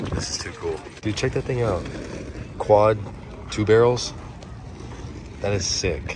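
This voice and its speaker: Over noticeable background noise and audible room echo, a man with a fairly low pitch and ordinary pitch variation talks at a fairly slow pace, leaving long, frequent pauses. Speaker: car hobby vlogger. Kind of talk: casual vlog. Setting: outdoors. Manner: animated.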